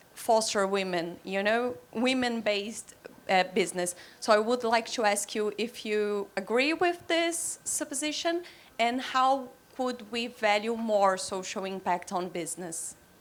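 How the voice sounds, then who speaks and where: A fairly high-pitched woman's voice with a Portuguese accent, lively intonation and a fairly slow pace. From Brazil. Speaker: audience member. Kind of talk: audience question.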